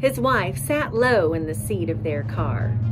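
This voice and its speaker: Over clear music in the background, a woman with an American accent speaks in a warm, upbeat tone. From Indiana, US Midwest. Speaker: poet. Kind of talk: poetry reading. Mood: warm, smiling, gentle. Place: open country. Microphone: phone near.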